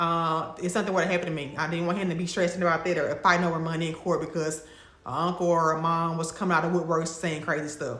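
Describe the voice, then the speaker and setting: A woman with a Mississippi accent talks at a very fast pace in a fairly low pitch, with noticeable background noise and audible room echo. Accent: Mississippi Southern. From Mississippi, US South. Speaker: lifestyle and travel vlogger. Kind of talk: casual vlog talk to camera. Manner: conversational, with fillers and restarts.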